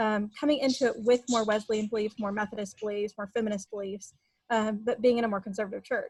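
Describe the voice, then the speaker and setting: A woman talks very fast in a slight Texas accent, her fairly high voice somewhat breathy and her intonation monotone and flat. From Texas Panhandle / eastern New Mexico border. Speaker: writer and editor. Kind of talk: interview testimony.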